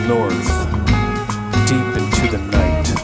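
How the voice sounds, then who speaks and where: A man is talking over loud background noise. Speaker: poet. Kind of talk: spoken word poetry over music. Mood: dark, solemn, romantic. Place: studio. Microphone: studio mic.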